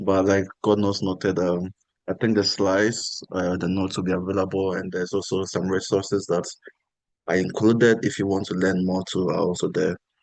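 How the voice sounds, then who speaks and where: In a quiet background, a man talks at a fairly quick pace in a very deep, low voice with monotone, flat intonation. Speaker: workshop speaker. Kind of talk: panel remarks to online workshop.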